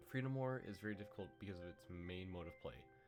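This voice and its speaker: Music playing behind a man's voice, very deep and low in pitch. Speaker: gaming video creator. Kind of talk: video essay narration.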